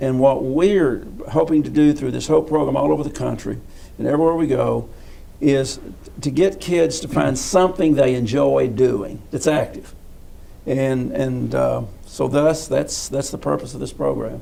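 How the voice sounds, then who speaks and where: A man with a Southern US accent speaks at a moderate pace with audible room echo. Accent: US South. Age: 70s. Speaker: physical education coach. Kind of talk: interview. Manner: halting.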